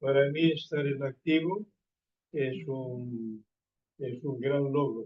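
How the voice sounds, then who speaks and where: Leaving long, frequent pauses, a man speaks very slowly at a fairly high pitch with ordinary pitch variation. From Spain. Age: 80s+. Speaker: priest. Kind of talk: talk to pilgrims. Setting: pilgrim hostel talk with consecutive interpreter. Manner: formal. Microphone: poor audio.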